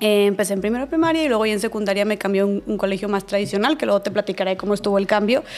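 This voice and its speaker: A woman with a northern Mexican accent talks at a very fast pace, with hardly any pauses. Her pitch sits in the medium range, with ordinary pitch variation. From northern Mexico, Monterrey. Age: 20s. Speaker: podcaster and speaker. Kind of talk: interview conversation. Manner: casual, many filler words.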